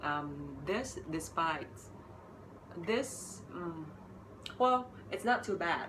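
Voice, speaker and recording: Speaking very slowly, a woman uses a fairly low pitch with very wide swings and long, frequent pauses. The recording has audible room echo and noticeable background noise. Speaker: English teacher, podcast co-host. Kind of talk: casual chat. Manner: halting, many fillers.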